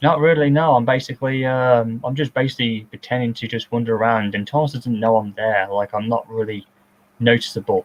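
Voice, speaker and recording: A man with an unremarkable speaking voice, medium in pitch, fairly even in intonation, at a fairly quick pace. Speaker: filmmaker giving director's commentary. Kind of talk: casual commentary chat.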